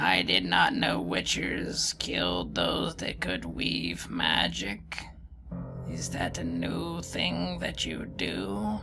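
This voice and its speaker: A man uses a put-on character voice at a very deep, low pitch. He speaks very slowly over clear background music. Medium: actual play. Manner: solemn, cryptic.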